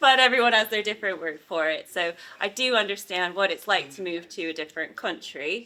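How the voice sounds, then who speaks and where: A woman talks at a fairly quick pace with lively intonation. Her tone is bright and sharp. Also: medium pitch for a woman. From United States. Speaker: university visa and immigration advisor. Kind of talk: interview.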